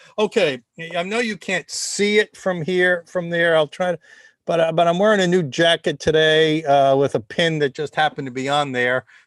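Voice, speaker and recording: In a Rhode Island accent, a man talks at a moderate pace with a high pitch and ordinary pitch variation, the sound dry and close with no echo over a quiet background. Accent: Rhode Island accent, somewhat tempered. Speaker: think tank host, former ballplayer. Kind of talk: casual webcast monologue. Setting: live video stream. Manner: halting, many repetitions and fillers.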